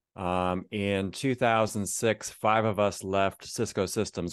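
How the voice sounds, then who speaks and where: In a Midwestern American accent, a man with fairly low pitch speaks at a fairly slow pace with fairly even intonation against a quiet background. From Northeast Ohio. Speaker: author of men's devotionals. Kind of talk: interview.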